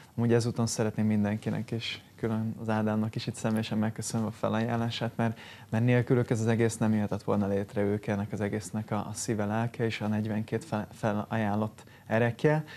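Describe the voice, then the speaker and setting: In a dark, mellow tone, a man speaks at a fairly low pitch and a fairly quick pace with monotone, flat intonation. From Hungary. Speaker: sports charity foundation head, former water polo player; TV guest. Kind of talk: morning TV studio interview. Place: studio. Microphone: lapel.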